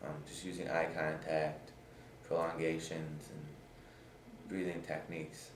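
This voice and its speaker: A man's very deep, low voice, monotone and flat, at a fairly slow pace with long, frequent pauses and noticeable background noise. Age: 20s. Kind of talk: interview answer. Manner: stutters.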